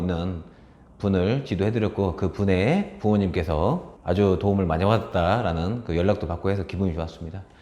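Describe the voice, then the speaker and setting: A man's fairly low, dark and mellow voice at a fairly quick pace. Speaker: speech coach and author. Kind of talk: casual talk to camera.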